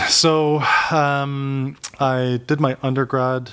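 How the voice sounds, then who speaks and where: The speaker has a Canadian accent. The pace is very slow. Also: man. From Oakville, Ontario, Canada (immigrated at five). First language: not English. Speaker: entrepreneur, social media influencer. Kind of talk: casual interview. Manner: many fillers and restarts.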